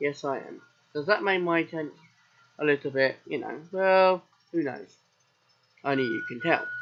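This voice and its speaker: A man with a southern English accent speaks at a high pitch and a moderate pace. His pitch variation is ordinary, and he leaves long, frequent pauses. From southern England. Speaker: gaming streamer. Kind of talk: live game commentary. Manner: casual.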